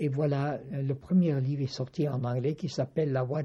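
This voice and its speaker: A man with a fairly high pitch and a somewhat breathy voice speaks at a fairly slow pace, his intonation fairly even. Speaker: spiritual teacher and author. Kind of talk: interview. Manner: halting, many hesitations.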